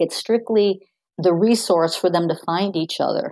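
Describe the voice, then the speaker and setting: Her tone dark and mellow, a woman speaks at a moderate pace in a dry, close sound with no echo. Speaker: nonprofit founder, retired paralegal. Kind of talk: interview.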